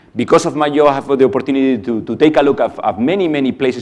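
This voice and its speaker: His voice sits fairly high for a man. The man's pitch rises and falls in a normal way. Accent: non-native. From outside the US. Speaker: panel moderator, pharma executive. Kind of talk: conference panel moderation.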